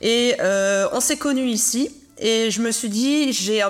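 A woman speaks in an unremarkable speaking voice. Her pitch sits fairly high, with ordinary variation. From Alsace, France. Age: 40s. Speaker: podcast host. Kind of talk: interview. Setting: studio.

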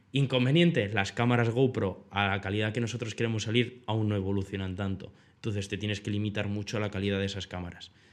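A man at a fairly low pitch, very fast and with hardly any pauses, in fairly even intonation, on a very clean recording with a silent background. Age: 20s. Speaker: video producer. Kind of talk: casual chat.

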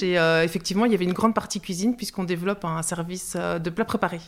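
Heard in a very clean recording with a silent background, a woman uses an ordinary speaking voice at a fairly quick pace with ordinary pitch variation. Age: 40s. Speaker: social grocery worker and cook. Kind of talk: interview testimony.

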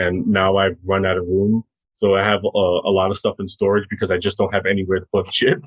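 Speaking at a fairly quick pace, a man with an American accent uses a fairly low, flat, monotone voice. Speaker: film podcaster. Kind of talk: casual chat.

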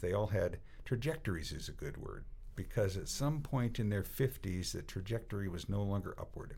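A man speaks at a fairly slow pace with ordinary pitch variation. His voice is somewhat breathy. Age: 60s. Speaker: cycling coach. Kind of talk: casual chat.

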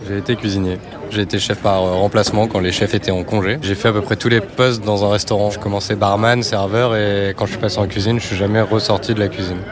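Against noticeable background noise, the voice runs at a fairly quick pace in a monotone, flat intonation. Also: man, fairly low pitch for a man. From western France (Île de Ré). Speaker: graphic designer, former cook. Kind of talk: casual interview over a meal. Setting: restaurant.

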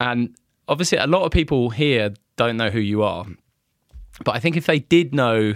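The recording is very clean, with a silent background. A man with a British accent speaks with ordinary pitch variation. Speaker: podcast host. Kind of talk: casual interview chat. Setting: studio.

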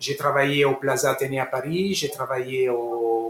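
A man talks with an Italian accent over noticeable background noise. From Italy. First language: Italian (speaking French). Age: 40s. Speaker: sports sponsorship manager. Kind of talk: interview. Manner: halting.

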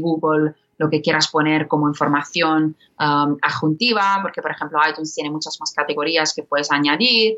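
Speaking at a moderate pace with a non-native accent, a woman uses fairly even intonation in a very deep, low pitch. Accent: foreign accent in Spanish. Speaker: podcast platform executive. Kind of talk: interview. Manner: halting, many fillers.

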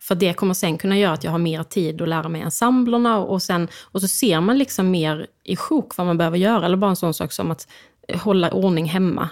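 Delivery runs at a fairly quick clip. The pitch varies in an ordinary way. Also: woman, medium pitch for a woman. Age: 30s. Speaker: opera singer. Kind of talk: interview. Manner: halting.

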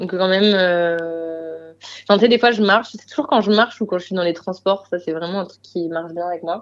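With a medium pitch and fairly even intonation, a woman speaks over a quiet background. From Marseille, southern France. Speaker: singer-songwriter. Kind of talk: casual interview chat.

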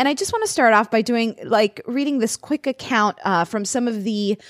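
In a dry, close recording with no echo and a silent background, a woman with an unremarkable speaking voice talks at a moderate pace using lively intonation. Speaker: podcast host. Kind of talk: casual chat.

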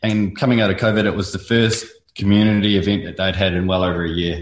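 With a New Zealand accent, a man talks at a very fast pace and fairly even intonation over a quiet background. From New Zealand, North Island. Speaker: artist, muralist. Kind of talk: casual interview.

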